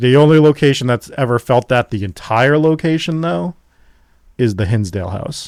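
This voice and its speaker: This man has an unremarkable speaking voice, medium in pitch, with lively intonation at a moderate pace. The recording is very clean and dry, close with no echo, over a silent background. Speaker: paranormal investigator, podcast host. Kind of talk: casual interview answer.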